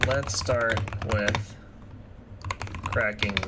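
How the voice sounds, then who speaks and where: A put-on character voice with a low pitch comes through over loud background noise. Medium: game stream. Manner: matter-of-fact.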